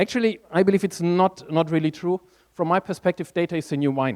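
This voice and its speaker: A man with a German accent speaks at a moderate pace in a high pitch, the sound dry and close with no echo. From Germany. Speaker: conference speaker, tech strategist. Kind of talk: conference talk.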